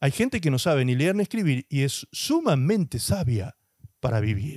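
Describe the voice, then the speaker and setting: Against a quiet background with dry sound and no echo, a man talks at a fairly quick pace, his fairly high pitch carrying lively intonation. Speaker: pastor. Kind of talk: sermon. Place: studio. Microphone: handheld.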